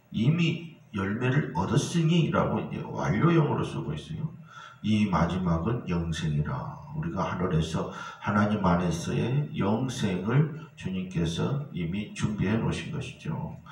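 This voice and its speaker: Very slowly, a man speaks with very wide pitch swings, amid noticeable background noise and audible room echo. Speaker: pastor. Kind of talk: sermon.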